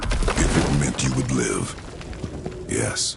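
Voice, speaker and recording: Loud background noise sits behind a man doing a put-on character voice. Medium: machinima. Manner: terse, grave.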